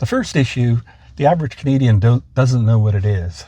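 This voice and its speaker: This man's voice is somewhat breathy. Its tone is dark and mellow. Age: 60s. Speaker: author and trainer. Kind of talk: interview. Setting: impromptu interview.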